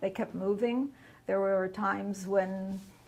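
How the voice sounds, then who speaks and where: A woman speaks at a moderate pace in a medium pitch. Her intonation is monotone and flat. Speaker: Holocaust survivor. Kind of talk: testimony.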